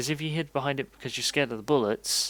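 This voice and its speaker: Heard on a very clean recording with a silent background, a man with an English accent speaks at a fairly quick pace with ordinary pitch variation. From England. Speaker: game developer streamer. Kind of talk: casual live stream talk while programming. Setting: live stream. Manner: halting, fumbling words.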